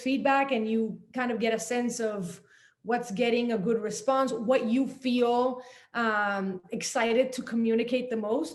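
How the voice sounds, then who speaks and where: A woman speaks in a Spanish accent at a fairly high pitch and fairly slow pace. Her intonation is fairly even, with audible room echo. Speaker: journalist and author. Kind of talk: panel talk.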